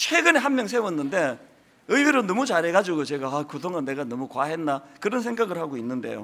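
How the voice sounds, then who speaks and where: A man speaks at a high pitch in a strong Gyeongsang accent. His pitch swings very widely. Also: fairly quick pace. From Gyeongsang Province, South Korea. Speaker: senior pastor. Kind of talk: sermon.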